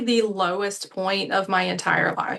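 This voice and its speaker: A woman with an American accent talks at a very slow pace in a medium pitch. The background is quiet. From US South, Savannah, Georgia. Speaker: life coach. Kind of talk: interview.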